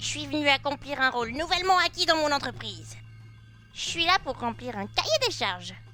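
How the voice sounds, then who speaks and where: A put-on, female-sounding character voice at a moderate pace, with clear background noise. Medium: machinima. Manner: lively, impulsive.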